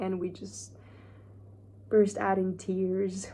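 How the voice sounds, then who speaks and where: A woman speaks very slowly. Room echo is audible. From Hungary. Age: 40s. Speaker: self-help vlogger. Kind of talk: personal vlog. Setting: hotel room.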